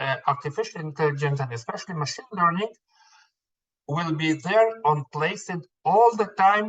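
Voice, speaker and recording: This man speaks high for a man, and his pitch varies in an ordinary way. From Israel. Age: 60s. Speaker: anesthesiologist. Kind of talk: interview. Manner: hesitant, many fillers and repeats.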